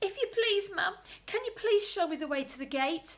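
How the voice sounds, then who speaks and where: A put-on character voice, raised and projected, at a fairly quick pace. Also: woman, extremely high pitch for a woman. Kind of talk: bedtime story. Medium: read story.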